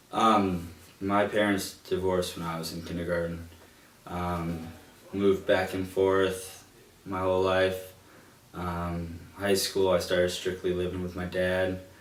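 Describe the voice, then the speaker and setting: A man speaks at a fairly slow pace with a very deep, low pitch. His intonation is monotone and flat, and the room echo is audible. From Illinois, Chicago suburbs. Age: 20s. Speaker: college student. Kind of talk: interview. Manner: hesitant, many fillers.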